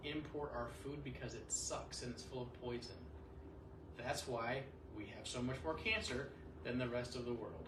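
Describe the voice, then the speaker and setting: There is audible room echo and noticeable background noise around a man speaking at a medium pitch. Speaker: chiropractor. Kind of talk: lecture. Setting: office talk with audience.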